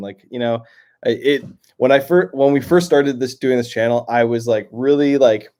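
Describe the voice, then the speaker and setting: With a Canadian accent and a dark, mellow tone, a man at medium pitch speaks at a fairly quick pace with ordinary pitch variation in a very clean recording against a silent background. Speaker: YouTube reaction channel host. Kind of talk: solo livestream chat reading viewer comments. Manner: halting, many fillers and repetitions.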